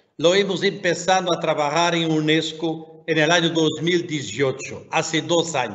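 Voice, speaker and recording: This speaker has a non-native accent and a fairly slow pace. The intonation is fairly even and the loudness very even. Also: man, fairly high pitch for a man. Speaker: education commission member. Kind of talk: webinar talk.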